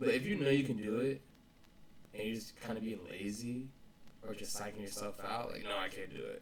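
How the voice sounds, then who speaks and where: Speaking at a fairly quick pace, a man uses a medium pitch with ordinary variation and long, frequent pauses. There is audible room echo. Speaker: vlogger. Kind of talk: casual motivational vlog talk. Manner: halting, repeats words. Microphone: poor audio quality.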